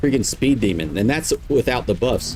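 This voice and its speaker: Speaking with a Southern US accent at a fairly quick pace, the voice has lively intonation against noticeable background noise. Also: man. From US South. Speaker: video game streamer. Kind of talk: gameplay tutorial. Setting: live stream. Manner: casual, rambling.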